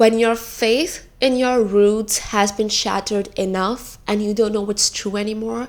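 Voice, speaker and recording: The speaker has an Indian accent and an animated tone. Pitch moves in an ordinary way. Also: woman. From India, smaller city. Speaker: video essayist. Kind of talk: video essay.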